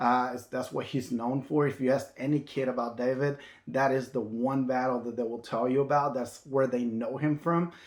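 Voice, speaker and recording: In a Spanish accent, a man speaks at a medium pitch and moderate pace in a monotone, flat intonation, with audible room echo. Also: hardly any pauses. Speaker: minister. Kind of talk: sermon. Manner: halting, many fillers and restarts.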